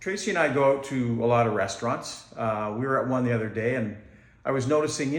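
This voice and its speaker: A male speaker's medium-pitched voice carries audible room echo. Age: 60s. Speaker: amateur comedian. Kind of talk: stand-up. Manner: halting.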